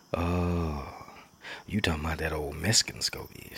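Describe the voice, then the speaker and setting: A man puts on a character voice that is raspy and rumbling, very deep and low in pitch, with fairly even intonation. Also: moderate pace. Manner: reflective, storytelling.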